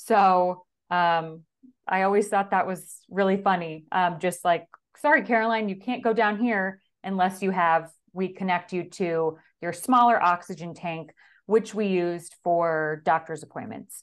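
A woman with a normal speaking voice talks at a fairly slow pace and medium pitch, with ordinary pitch variation over a quiet background. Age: 30s. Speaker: stay-at-home mother. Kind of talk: casual interview.

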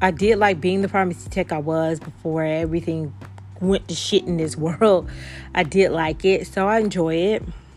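A woman with an unremarkable speaking voice talks at a fairly low pitch and moderate pace, with ordinary pitch variation. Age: 40s. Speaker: podcast host. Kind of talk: casual solo monologue.

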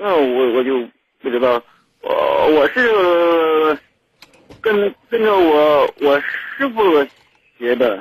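A man speaks at a very slow pace with long, frequent pauses and very even loudness. His fairly high pitch moves in very wide swings. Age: 20s. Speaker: caller, welder. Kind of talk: call-in advice conversation. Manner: stuttering, repeats syllables.

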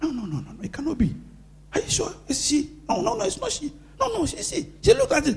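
A man at an extremely high pitch, very fast, animated, with very wide pitch swings over noticeable background noise. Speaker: pastor. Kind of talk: sermon. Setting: church.

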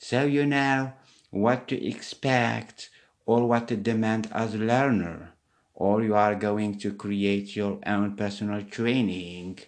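Speaking very slowly with a non-native accent, a man uses a fairly low pitch and fairly even intonation. The background is quiet. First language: not English. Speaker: English teaching podcaster. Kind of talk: solo podcast monologue.

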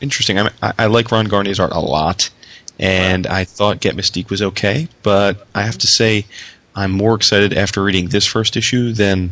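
A man speaks at a moderate pace in a fairly low pitch with a bright, sharp tone, ordinary pitch variation and very even loudness. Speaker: podcast host. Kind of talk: casual chat.

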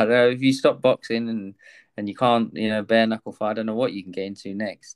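Fairly even intonation at a fairly quick pace in an English accent, with big swings in loudness on a very clean recording with a silent background. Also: man, medium pitch for a man. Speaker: podcast host. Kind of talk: casual interview.

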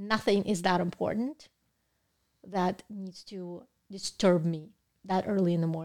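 A woman with a Russian accent and a medium-pitched voice speaks at a fairly slow pace with fairly even intonation, long and frequent pauses, and big swings in loudness. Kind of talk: casual interview chat.

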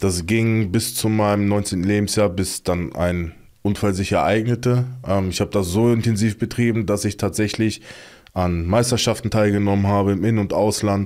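A man's unremarkable speaking voice, fairly low in pitch, at a moderate pace with very even loudness and fairly even intonation. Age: 30s. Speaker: guest telling life story, former athlete. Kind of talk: personal testimony in casual interview.

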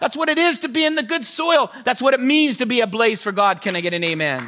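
Here a man's voice is raised and projected. His tone is bright, sharp and animated. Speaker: pastor. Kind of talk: sermon.

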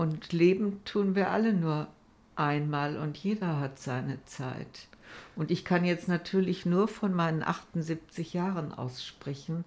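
The woman talks at a very slow pace. Her pitch is fairly low, with ordinary variation. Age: 70s. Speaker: cancer patient. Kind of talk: interview.

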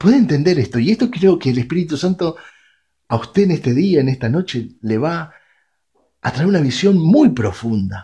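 With a Rioplatense accent and a fairly high pitch, a man speaks at a moderate pace in a dark, mellow tone, his pitch swinging very widely over a quiet background. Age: 40s. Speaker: radio preacher. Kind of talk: sermon.

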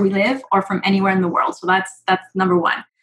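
A woman with a Quebec accent talks at a very fast pace. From Quebec, Montreal. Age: 30s. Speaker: real estate investor and nurse. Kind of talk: interview.

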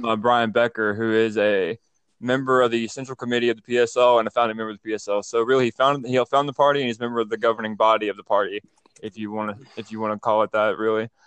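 Very fast and monotone, with flat intonation, a man with an Alabama accent speaks at a medium pitch in a dry, close sound with no echo. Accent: Southern US (Alabama). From US South, North Alabama. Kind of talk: casual political discussion.

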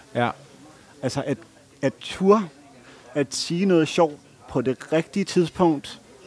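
A man's fairly high voice at a very slow pace, with long, frequent pauses and ordinary pitch variation. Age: 30s. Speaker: podcast co-host. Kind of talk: casual chat. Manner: hesitant, many filler sounds.

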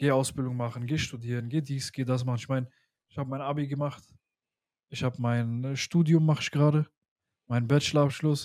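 In a very clean recording with a silent background, a man at a medium pitch speaks at a fairly quick pace with monotone, flat intonation and long, frequent pauses. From Germany, Pakistani heritage. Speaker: podcast host. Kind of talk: casual chat.

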